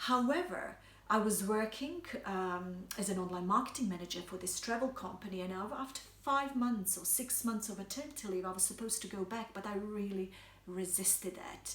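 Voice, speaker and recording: A woman with a Bosnian accent at a medium pitch and a fairly quick pace, with ordinary pitch variation, audible room echo and noticeable background noise. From Bosnia and Herzegovina. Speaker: health coach. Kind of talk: personal story monologue. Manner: hesitant, many fillers.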